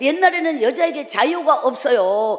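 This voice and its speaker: A woman speaks in a high voice with an animated tone and very wide pitch swings. Noticeable background noise sits behind her. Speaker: evangelist preacher. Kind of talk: revival sermon with life testimony. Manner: animated storytelling.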